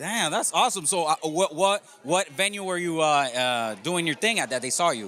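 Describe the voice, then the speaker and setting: A man's fairly high-pitched, lively voice with hardly any pauses, set against noticeable background noise. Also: moderate pace. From Colombia, Medellín. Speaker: podcast host. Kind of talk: casual interview. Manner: animated.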